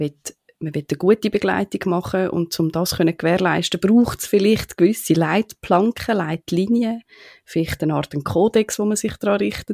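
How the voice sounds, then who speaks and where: In a dry, close sound with no echo, a woman with an unremarkable speaking voice talks at a medium pitch and moderate pace with fairly even intonation. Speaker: podcast host. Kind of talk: interview.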